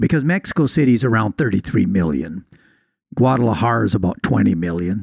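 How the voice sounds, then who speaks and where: A man with vocal fry talks fairly quickly at a fairly low pitch, his voice making very wide pitch swings. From Canada. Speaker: podcast co-host. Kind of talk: casual chat.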